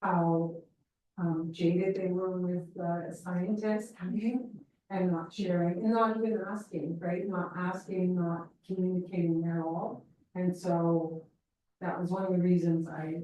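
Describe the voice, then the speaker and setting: The tone is dark and mellow, and the pace is fairly slow. Room echo is audible. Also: woman. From northern British Columbia, Canada. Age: 60s. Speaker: audience member. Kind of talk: audience Q&A comment. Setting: talk night with audience.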